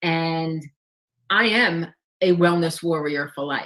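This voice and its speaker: A woman with a New York accent, fairly low in pitch, at a fairly slow pace. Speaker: life and wellness coach. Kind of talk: interview.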